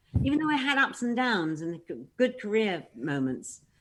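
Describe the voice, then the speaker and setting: A woman speaks with a British accent. Her pitch swings very widely. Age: 60s. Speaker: panel guest. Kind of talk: casual chat. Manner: halting.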